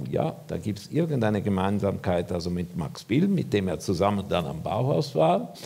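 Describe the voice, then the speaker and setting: A man speaks at a moderate pace in a dark, mellow tone, his pitch swinging very widely. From Switzerland. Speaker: architect; lecturer. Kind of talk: lecture. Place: hall.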